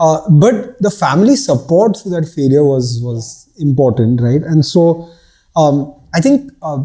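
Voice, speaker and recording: With a dark, mellow tone, a man speaks at a fairly slow pace and fairly high pitch, his voice making very wide pitch swings. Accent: Bombay. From India, Bombay. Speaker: startup founder. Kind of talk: casual chat.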